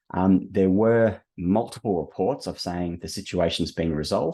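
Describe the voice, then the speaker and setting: Over a quiet background, a man with an Australian accent talks at a moderate pace in a very deep, low pitch with a dark, mellow tone. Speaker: webinar host, operations director. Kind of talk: product webinar presentation. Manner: hesitant, many fillers.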